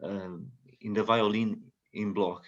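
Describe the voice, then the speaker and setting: This man speaks at a very slow pace with a Portuguese accent and a fairly low pitch. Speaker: doctoral student and music professor. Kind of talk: video call introduction. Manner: halting.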